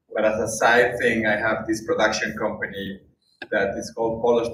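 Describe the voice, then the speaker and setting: Room echo is audible. A man speaks with a Spanish accent. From Spain. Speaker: documentary filmmaker and UN worker. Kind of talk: speech to an audience. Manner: halting, many fillers.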